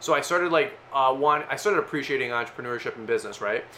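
A man speaks very fast in an animated tone, his fairly high pitch varying in an ordinary way. Noticeable background noise runs underneath. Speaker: landscaping business owner and YouTuber. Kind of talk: casual interview.

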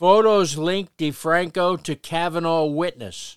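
On a very clean recording with a silent background, a man with an American accent talks at a high pitch with ordinary pitch variation. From Paterson, New Jersey. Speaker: podcast host. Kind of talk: podcast intro and local history narration. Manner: conversational, friendly.

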